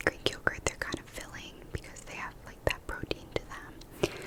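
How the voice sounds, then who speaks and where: A woman whispers over noticeable background noise. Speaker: ASMR creator and new mother. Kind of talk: casual whispered ramble about food. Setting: close-mic ASMR recording. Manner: whispered, soft.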